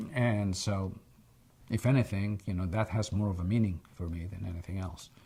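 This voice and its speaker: Speaking in an American accent, a man has a fairly low pitch, a dark, mellow, somewhat breathy tone, and fairly even intonation in a very clean recording with a silent background. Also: moderate pace. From Egypt. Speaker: interviewee sharing life history. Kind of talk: oral history interview. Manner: hesitant, repeats words.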